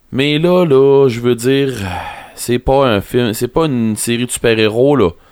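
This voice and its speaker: Over noticeable background noise, a man of medium pitch speaks at a fairly slow pace with very even loudness and ordinary pitch variation. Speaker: podcast co-host. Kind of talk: casual chat. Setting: studio.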